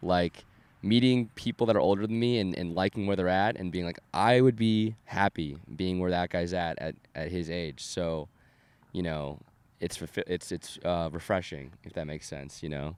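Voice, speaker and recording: In an American accent, a man speaks at a moderate pace with a very deep, low pitch and ordinary pitch variation. The recording is very clean, with a silent background. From Southern California (Orange County). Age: 20s. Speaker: DJ and music producer. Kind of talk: casual chat.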